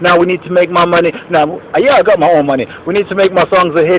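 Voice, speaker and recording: Noticeable background noise runs under the recording. A man speaks in an animated tone at a high pitch. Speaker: video blogger and musician. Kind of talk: casual vlog monologue. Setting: outdoors on a rooftop. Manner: fast.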